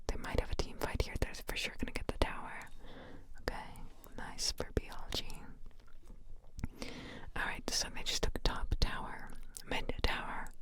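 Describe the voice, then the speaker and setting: Noticeable background noise runs under whispering that moves at a moderate pace. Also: woman. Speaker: ASMR gaming commentator. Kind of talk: esports match commentary / reaction, relaxed talk. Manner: whispered, soft-spoken.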